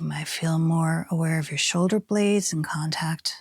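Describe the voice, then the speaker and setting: A woman speaks with a fairly low pitch and a somewhat breathy quality, her pitch varying ordinarily. The recording is very clean with a silent background, dry and close with no echo. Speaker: movement therapy teacher. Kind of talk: guided movement lesson. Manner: slow; soft-spoken.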